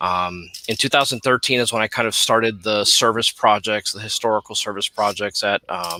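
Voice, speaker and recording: A man with a fairly low pitch and a bright, sharp tone, at a moderate pace with hardly any pauses, fairly even intonation, and a dry, close sound with no echo. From Miami, Little Havana (Cuban and Puerto Rican family). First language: Spanish. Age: 40s. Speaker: social studies teacher. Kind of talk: panel discussion.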